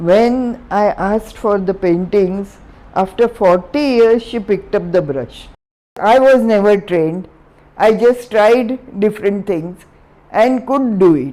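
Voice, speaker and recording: Speaking very slowly, a woman has a dark, mellow tone at a medium pitch. Her pitch varies in an ordinary way. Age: 80s+. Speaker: artist. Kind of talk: interview answer. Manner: energetic, enthusiastic.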